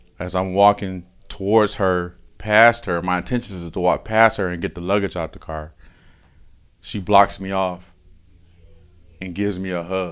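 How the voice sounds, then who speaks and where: Over background music, a man with an American accent speaks at a moderate pace in a very deep, low voice, flat and monotone, with long, frequent pauses. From Michigan. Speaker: person in addiction recovery. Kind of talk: testimony. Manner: casual, conversational.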